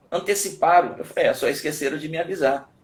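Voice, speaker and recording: A man talks at a fairly quick pace. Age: 60s. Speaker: martial arts professor. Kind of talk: live webinar talk.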